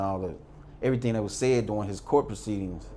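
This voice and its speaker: Audible room echo surrounds a man speaking with an American accent at a medium pitch with ordinary variation. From US Midwest, St. Louis. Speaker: former prisoner. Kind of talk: interview storytelling.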